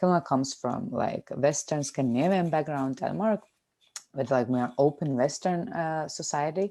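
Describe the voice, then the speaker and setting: In a non-native accent, a woman speaks at a moderate pace with a very deep, low pitch, a dark, mellow tone and lively intonation. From Lithuania. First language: Lithuanian. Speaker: podcast co-host. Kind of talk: casual chat.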